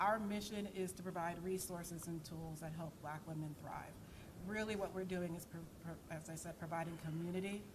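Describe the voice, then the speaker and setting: Fairly quick and monotone, a woman with a fairly low pitch speaks flatly amid noticeable background noise and audible room echo. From United States. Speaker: network founder and CEO, former lawyer. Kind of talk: conference panel introduction. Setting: conference stage with audience.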